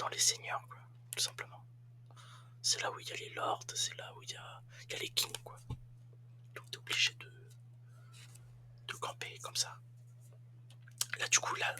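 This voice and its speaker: Whispering, a man talks at a fairly slow pace with long, frequent pauses. His loudness swings widely. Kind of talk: ASMR gaming commentary. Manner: whispered; casual, hesitant.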